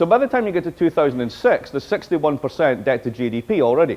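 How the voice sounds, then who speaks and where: A man with a Scottish accent talks at a very fast pace, his fairly high voice swinging very widely in pitch. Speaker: professor. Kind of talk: lecture. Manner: animated.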